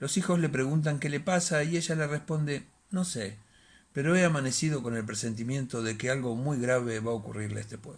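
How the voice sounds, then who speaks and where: A man speaks at a fairly quick pace with a somewhat breathy quality. His pitch varies in an ordinary way. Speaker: bookseller and storyteller. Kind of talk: reading a short story aloud as dramatic narration. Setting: home recording, solo. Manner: hesitant, halting, repeating words in the intro; dramatic, suspenseful storytelling pace. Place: home room. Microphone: phone near.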